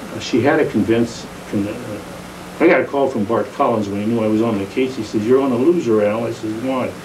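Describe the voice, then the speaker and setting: Noticeable background noise and audible room echo surround a man with an American accent who talks at a fairly quick pace, with medium pitch and ordinary pitch variation. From San Jose, California. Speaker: retired judge. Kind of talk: oral history interview. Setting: at home. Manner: halting.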